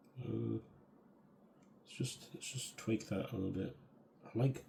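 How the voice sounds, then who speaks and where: Vocal fry runs through a man's dark, mellow tone. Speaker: artist. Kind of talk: casual narration while drawing. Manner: rambly, halting.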